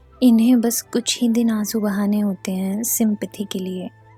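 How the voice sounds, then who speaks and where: A woman talks with fairly even intonation while music plays in the background. The sound is dry and close, with no echo. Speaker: poet. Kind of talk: spoken word poetry.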